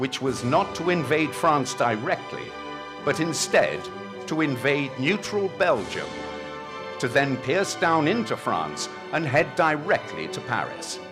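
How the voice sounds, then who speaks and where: Over music in the background, a man speaks at a very slow pace with a fairly high pitch. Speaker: narrator. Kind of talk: historical narration at a commemoration event. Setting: outdoors.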